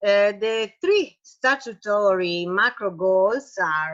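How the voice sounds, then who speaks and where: A woman's medium-pitched voice with an Italian accent and lively intonation over a quiet background. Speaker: patient association president and parent advocate. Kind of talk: reading aloud. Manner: halting.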